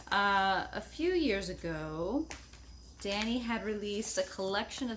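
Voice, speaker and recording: Audible room echo surrounds a woman as she talks. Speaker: knitting podcaster. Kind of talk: casual chat.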